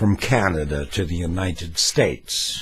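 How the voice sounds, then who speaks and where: On a very clean recording with a silent background, this man talks in a somewhat breathy voice. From US West Coast, Los Angeles. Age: 70s. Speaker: political vlogger, former talk show host. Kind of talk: opinion rant monologue.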